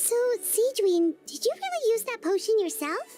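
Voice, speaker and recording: With music in the background, a woman does a put-on character voice that is squeaky and extremely high in pitch, at a moderate pace. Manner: surprised.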